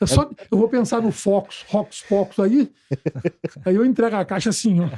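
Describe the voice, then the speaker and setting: A man speaks at a moderate pace with a high pitch and ordinary pitch variation. His tone is dark and mellow. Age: 60s. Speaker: environmental educator and university professor. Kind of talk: casual chat.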